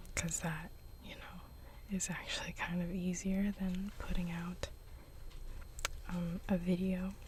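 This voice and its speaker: This voice is soft-spoken and unhurried, at a fairly slow pace. Long pauses come often. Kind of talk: ASMR chit chat.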